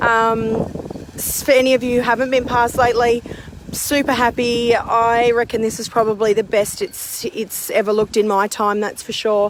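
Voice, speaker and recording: With an Australian accent, a woman speaks at a fairly high pitch and a moderate pace. Her intonation is fairly even, against noticeable background noise. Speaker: community gardener. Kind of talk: garden tour. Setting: outdoors. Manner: loud.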